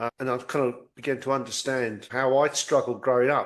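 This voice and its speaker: A man talks with an English accent and a medium pitch. His pace is fairly quick. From England. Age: 60s. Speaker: podcast host. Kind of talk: casual chat.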